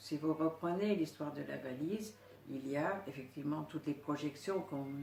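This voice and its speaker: A woman's very deep, low voice at a fairly slow pace, with noticeable background noise. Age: 70s. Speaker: psycho-energetic therapist. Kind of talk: interview. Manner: halting.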